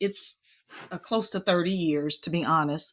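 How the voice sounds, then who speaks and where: The recording is very clean, with a silent background. A woman speaks at medium pitch in a bright, sharp tone. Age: 60s. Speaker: childcare and family financial literacy expert. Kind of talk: interview.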